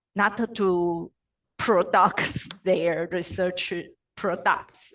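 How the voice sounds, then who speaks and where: A woman speaks at a medium pitch, in a Chinese accent. Her pace is very slow and her intonation is monotone and flat. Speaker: postdoctoral researcher, presenter. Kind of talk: webinar Q&A answer. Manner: halting, hesitant.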